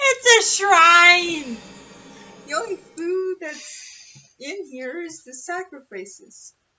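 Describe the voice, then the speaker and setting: A woman's extremely high pitch at a very slow pace, with very wide pitch swings, big swings in loudness and music in the background. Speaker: guest co-commentator, host's sister. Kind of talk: casual chat. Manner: soft-spoken. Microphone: too quiet for the mic.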